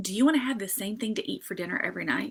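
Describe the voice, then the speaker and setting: A woman's bright, sharp tone in a Southern US accent, with lively intonation. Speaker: social media marketing consultant. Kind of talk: live stream tutorial. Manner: casual, many fillers.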